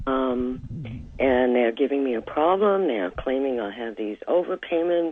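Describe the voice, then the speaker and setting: Noticeable background noise accompanies talking that unfolds at a fairly slow pace. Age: 60s. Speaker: caller. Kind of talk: phone-in consultation. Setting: phone call.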